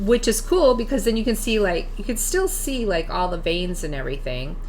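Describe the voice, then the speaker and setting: Amid noticeable background noise, a woman speaks fairly quickly at a fairly high pitch, her voice making very wide pitch swings. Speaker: crafting demonstrator. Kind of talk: tutorial. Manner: halting, many fillers; casual.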